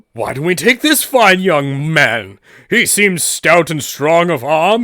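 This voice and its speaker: A man puts on a character voice with a high pitch and very wide pitch swings at a fairly slow pace. The recording is very clean, with a silent background. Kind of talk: comic overacting. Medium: actual play. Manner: pompous, theatrical.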